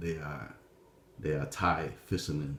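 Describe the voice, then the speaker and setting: Audible room echo surrounds a man speaking with a Vietnamese accent. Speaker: vlogger telling life story. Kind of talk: personal testimony. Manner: halting, many fillers.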